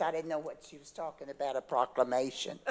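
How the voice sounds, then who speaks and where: A woman's moderately paced speech is heard through noticeable background noise. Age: 80s+. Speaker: dance group leader. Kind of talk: speech at ceremony.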